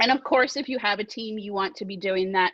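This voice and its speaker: A woman is speaking. Her voice is loud. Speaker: direct sales team leader. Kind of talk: team training call. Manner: animated.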